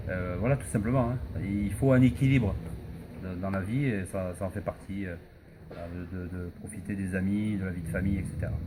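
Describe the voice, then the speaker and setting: Over audible room echo, a man with a very deep, low pitch speaks at a moderate pace with ordinary pitch variation. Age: 40s. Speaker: gospel singer, comedian and actor. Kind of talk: interview. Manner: hesitant, many fillers and repetitions.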